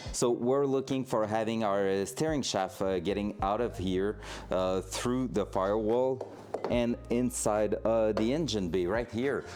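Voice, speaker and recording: Speaking in a French Canadian accent, a man talks at a fairly slow pace in a fairly low pitch. His loudness stays very even, his pitch varies in an ordinary way, and noticeable background noise is present. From Quebec. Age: 20s. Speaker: streamer, hobby mechanic. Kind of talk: casual livestream talk while working on a car. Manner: hesitant, many fillers.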